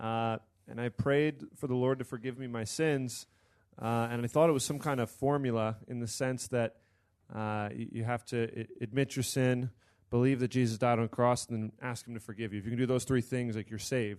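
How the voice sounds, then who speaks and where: Over a quiet background, a man with an American accent talks at a moderate pace with a medium pitch and fairly even intonation in an ordinary speaking voice. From Pennsylvania, US. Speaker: seminary student and Bible study leader. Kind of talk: panel discussion.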